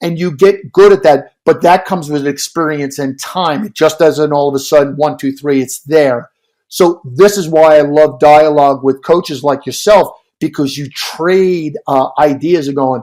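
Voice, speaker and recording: Delivered at a moderate pace in an American accent, an unremarkable speaking voice keeps its intonation fairly even. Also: man. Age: 60s. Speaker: swim coach and author. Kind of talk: podcast interview.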